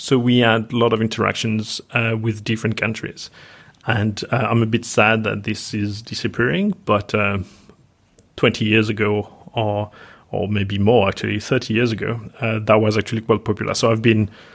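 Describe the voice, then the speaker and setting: In a French accent, a man speaks with fairly low pitch and flat, monotone intonation. The recording is very clean with a silent background. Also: moderate pace. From France. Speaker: software engineer. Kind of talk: casual interview.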